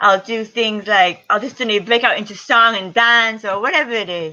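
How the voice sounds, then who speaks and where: The tone is bright and sharp against a quiet background. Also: woman. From Puerto Rico. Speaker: triathlete. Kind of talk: interview.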